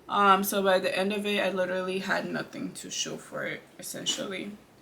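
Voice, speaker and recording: Moderate-paced speech from a woman in a room with audible echo, under noticeable background noise. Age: 20s. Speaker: beauty vlogger. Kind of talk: casual chat.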